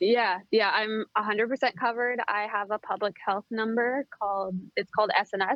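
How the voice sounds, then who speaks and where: A woman with a normal speaking voice, a medium pitch and an American accent. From US. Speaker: expat. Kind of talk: interview. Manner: casual with many fillers.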